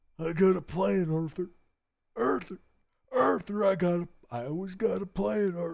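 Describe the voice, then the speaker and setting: A put-on character voice at a middle pitch, moving at a moderate pace with long, frequent pauses. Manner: persuasive, reassuring.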